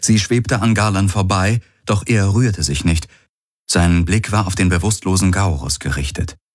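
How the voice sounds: In a natural reading voice, the speaker is heard against a quiet background.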